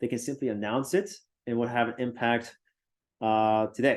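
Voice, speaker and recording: This is a man with a normal speaking voice. His intonation stays fairly even. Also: quiet background. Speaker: university lecturer. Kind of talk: lecture.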